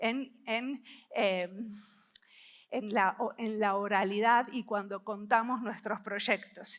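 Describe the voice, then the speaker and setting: A woman's bright, sharp voice, moving at a fairly slow pace. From Argentina, Buenos Aires. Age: 50s. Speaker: service designer and researcher, conference speaker. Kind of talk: conference talk. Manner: intense.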